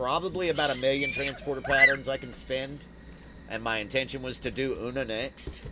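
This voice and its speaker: A man speaks at a fairly quick pace in an American accent. His intonation is fairly even, and there is noticeable background noise. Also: medium pitch for a man. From United States. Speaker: livestream gamer. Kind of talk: casual chat.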